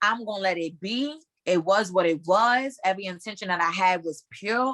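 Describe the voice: At a moderate pace, a woman speaks with a medium pitch, ordinary pitch variation and a fairly bright tone in a dry, close sound with no echo.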